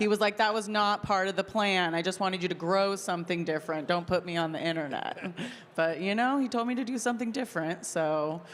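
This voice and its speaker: A woman talks in a normal speaking voice. Her pitch is medium. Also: ordinary pitch variation, fairly quick pace. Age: 30s. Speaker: content creator and farmer. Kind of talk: interview conversation. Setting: stage with audience at a convention.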